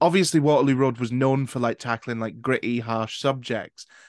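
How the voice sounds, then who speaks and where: A man's medium-pitched voice comes through dry and close, with no echo. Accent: Scottish. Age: 20s. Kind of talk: casual chat; scripted narration.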